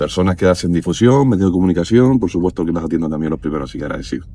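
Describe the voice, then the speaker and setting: The man's voice sits at a very deep, low pitch. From Canary Islands, Lanzarote. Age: 40s. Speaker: regional government official. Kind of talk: interview conversation. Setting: on location in a village.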